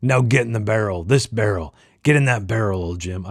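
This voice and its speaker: A man puts on a character voice at a fairly low pitch and a fairly quick pace, on a very clean recording with a silent background. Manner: gruff, commanding.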